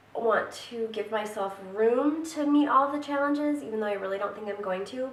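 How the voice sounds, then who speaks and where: A woman talks at a moderate pace and a fairly high pitch with ordinary pitch variation, over noticeable background noise. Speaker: book vlogger. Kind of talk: casual talk to camera.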